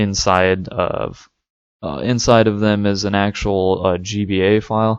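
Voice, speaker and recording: Fairly low in pitch, a man speaks at a fairly slow pace. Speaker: tech tutorial youtuber. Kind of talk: tutorial. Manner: monotone; hesitant, many fillers.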